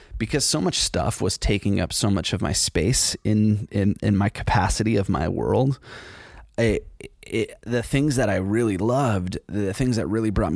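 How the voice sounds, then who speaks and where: Recorded very cleanly against a silent background, a man talks at a moderate pace in a fairly low pitch, with vocal fry and ordinary pitch variation. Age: 40s. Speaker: podcast host. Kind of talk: solo casual monologue. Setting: studio.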